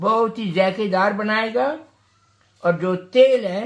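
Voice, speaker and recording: The man's voice sits at a high pitch with ordinary pitch variation. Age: 80s+. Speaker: home cook. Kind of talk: casual cooking talk. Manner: humorous, chatty.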